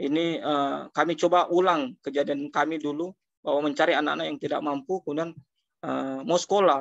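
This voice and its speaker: A man speaks at a fairly quick pace with a fairly high pitch and fairly even intonation. The sound is dry with no echo, against a quiet background. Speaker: social foundation director; webinar speaker. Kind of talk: webinar talk. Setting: video call. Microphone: video call.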